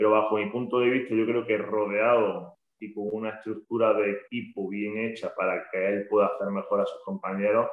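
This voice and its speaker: The speaker has an Andalusian accent and talks at a fairly quick pace. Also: man. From Andalusia, Spain. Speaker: basketball coach. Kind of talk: podcast interview.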